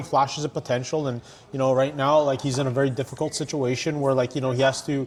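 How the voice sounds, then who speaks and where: Over noticeable background noise, a man with a fairly high voice speaks at a very fast pace. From Canada. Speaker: ring announcer and hype man. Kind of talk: podcast interview answer. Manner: casual, conversational.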